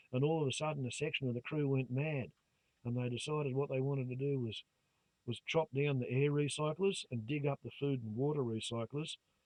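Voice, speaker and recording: A man with an Australian accent talks at a fairly quick pace and a fairly high pitch. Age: 60s. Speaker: YouTuber. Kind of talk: monologue to camera. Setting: phone camera recording. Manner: animated. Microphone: phone camera mic, low volume.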